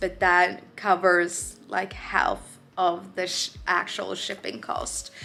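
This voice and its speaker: With music playing in the background, a woman speaks at a very slow pace in a medium pitch. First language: Swedish. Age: 20s. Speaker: painter. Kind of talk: casual vlog Q&A. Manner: slow, halting.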